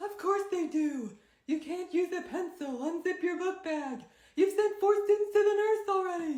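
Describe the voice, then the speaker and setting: At a moderate pace, a woman puts on a squeaky character voice with an extremely high pitch. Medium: comedy sketch. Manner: sarcastic.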